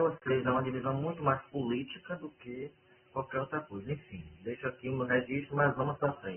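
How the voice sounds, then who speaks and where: A man speaks at a moderate speed while noticeable noise sounds in the background. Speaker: university administrator chairing a meeting. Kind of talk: online work meeting. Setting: video call from home bedroom. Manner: soft-spoken. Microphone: sounds muffled.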